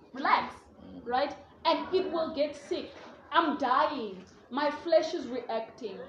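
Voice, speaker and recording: Against noticeable background noise, a woman speaks at a high pitch with lively intonation, very slowly and with long, frequent pauses. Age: 20s. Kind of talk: group discussion.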